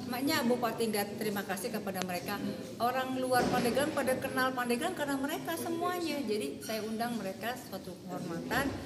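Through loud background noise, a woman talks at a very fast pace with hardly any pauses. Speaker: local official hosting guests. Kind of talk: interview answer. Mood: upbeat, promotional. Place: hall. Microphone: handheld.

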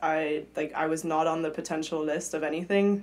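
The woman's voice is fairly low in pitch, with monotone, flat intonation. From Europe, mixed (grew up partly in London). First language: German. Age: 20s. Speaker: Olympic swimmer; podcast guest. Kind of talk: casual interview chat. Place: studio. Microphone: studio mic.

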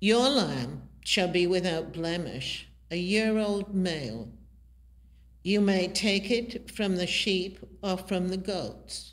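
Speaking at a very slow pace, a woman lets her pitch vary in an ordinary way. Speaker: lay reader. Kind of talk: scripture reading. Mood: calm, measured. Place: church. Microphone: podium.

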